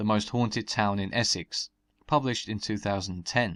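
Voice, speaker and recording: This man talks at a fairly quick pace with fairly low pitch and ordinary pitch variation. He has a plain, everyday voice. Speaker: folklore narrator. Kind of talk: documentary narration.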